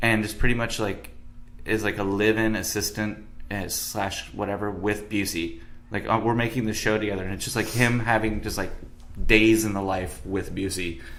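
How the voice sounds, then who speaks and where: A man with a fairly low pitch talks at a moderate pace, with audible room echo around him. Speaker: bartender and podcast host. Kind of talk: casual chat. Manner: mumbles a little sometimes.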